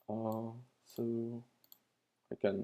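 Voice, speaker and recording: A man speaks with a non-native accent. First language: not English. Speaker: retro computer hobbyist and tutorial maker. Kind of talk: tutorial. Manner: halting, many fillers.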